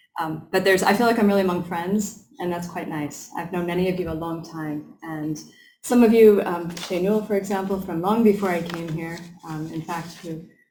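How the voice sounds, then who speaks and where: With an American accent, a woman talks at a fairly quick pace in a fairly low pitch, with ordinary pitch variation and audible room echo. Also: big swings in loudness. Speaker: professor. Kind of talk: lecture. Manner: hesitant, many filler ums.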